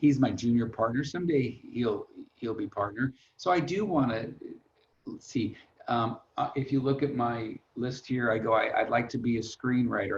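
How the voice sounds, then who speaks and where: A somewhat breathy man's voice of medium pitch, with an American accent. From Long Beach, California. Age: 60s. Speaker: financial planner. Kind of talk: webinar interview. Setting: online webinar. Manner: casual, halting with repetitions.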